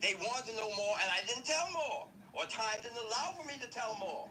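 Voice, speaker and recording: A man speaks at an extremely high pitch and a fairly quick pace, his raised, projected voice full of lively intonation over noticeable background noise. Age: 60s. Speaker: online commentator. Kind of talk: commentary monologue.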